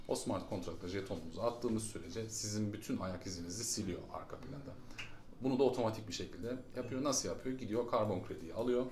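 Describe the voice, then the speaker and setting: Amid noticeable background noise and audible room echo, a man talks at a fairly quick pace in a medium pitch with ordinary pitch variation. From Germany, moved to Turkey at 11-12. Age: 40s. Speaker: startup founder. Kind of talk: casual interview.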